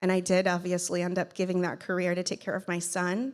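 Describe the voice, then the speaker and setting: A woman speaks at a fairly quick pace with a medium pitch, in a very clean recording with a silent background. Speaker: keynote speaker and podcast host. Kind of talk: conference keynote speech. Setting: stage with audience. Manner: voice shakes when speaking about son; emotional, earnest.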